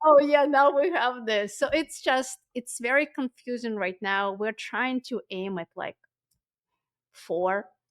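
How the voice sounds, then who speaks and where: A woman with a non-native accent speaks at a very slow pace with a high pitch and lively intonation. The sound is dry and close with no echo. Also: big swings in loudness. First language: not English. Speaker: ecommerce agency founder. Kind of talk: podcast interview. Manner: halting, frequent fillers.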